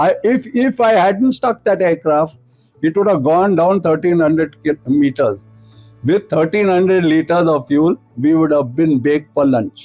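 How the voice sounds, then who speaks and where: Music plays in the background as a man speaks with an Indian accent and a high pitch. His intonation is lively and his loudness very even. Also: moderate pace. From India, Pune. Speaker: retired air force officer. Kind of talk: anecdote telling.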